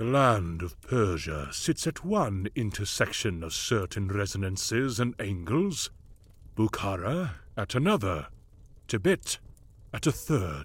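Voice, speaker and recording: Using a rumbling, put-on character voice, a man speaks fairly slowly at a fairly low pitch with very wide pitch swings, in a very clean recording with a silent background. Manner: imperious, lecturing, soft rumbling cadence.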